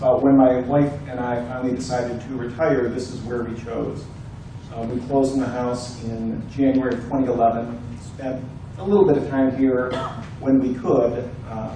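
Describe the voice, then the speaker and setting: A man with an American accent speaks at a moderate pace in a medium pitch, with fairly even intonation, audible room echo and noticeable background noise. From Ohio, Cleveland. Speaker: candidate for homeowners' board, retired attorney. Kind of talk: candidate speech at community forum. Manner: soft-spoken.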